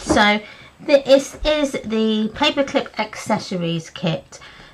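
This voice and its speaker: Over noticeable background noise, a woman's voice moves in very wide pitch swings. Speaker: craft video host. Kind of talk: live craft stream chat. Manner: casual, hesitant with fillers.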